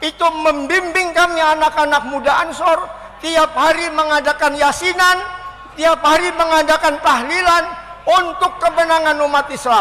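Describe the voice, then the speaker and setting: A man speaks in a raised, projected voice at an extremely high pitch, at a moderate pace and very even loudness. His intonation is flat and monotone, with noticeable background noise. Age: 70s. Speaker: elderly activist giving testimony. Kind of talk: speech to an audience.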